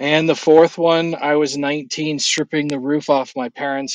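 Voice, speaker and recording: A plain, everyday voice from a man with an American accent, fairly high in pitch, at a moderate pace, in dry, close sound with no echo. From California. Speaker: guest sharing faith testimony. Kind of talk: casual chat; testimony.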